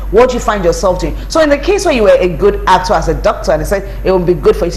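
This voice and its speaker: The speaker has a Nigerian accent. Background noise is noticeable. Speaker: lawyer and brand strategist. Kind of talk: interview.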